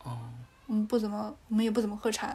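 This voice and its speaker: A woman talks at a fairly high pitch. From Sichuan (Dujiangyan, Chengdu Plain). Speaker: podcast guest. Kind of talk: casual chat.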